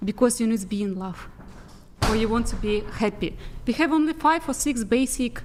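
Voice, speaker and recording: A woman talks at a fairly quick pace in a fairly high pitch, her intonation lively, with noticeable background noise behind her. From Kazakhstan. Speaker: makeup artist and podcast guest. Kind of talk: casual panel chat. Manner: halting non-native phrasing.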